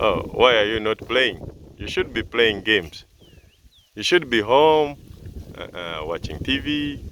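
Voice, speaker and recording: A man with a Ugandan accent talks at a fairly slow pace at medium pitch, with very wide pitch swings, big swings in loudness, and long, frequent pauses. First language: Luganda. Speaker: farm video presenter. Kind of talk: on-site interview. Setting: outdoors.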